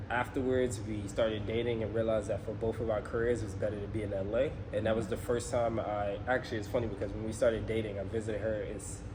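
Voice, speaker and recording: A man talks at a very fast pace and medium pitch, in a monotone, flat intonation with hardly any pauses. Noticeable background noise and audible room echo fill the recording. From New York (Bronx), later Atlanta. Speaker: travel vlogger, personal trainer. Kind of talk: casual chat.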